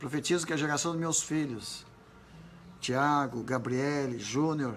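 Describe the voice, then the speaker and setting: With audible room echo, a man speaks very slowly at a fairly high pitch with ordinary pitch variation. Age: 80s+. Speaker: pastor. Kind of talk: sermon. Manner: animated.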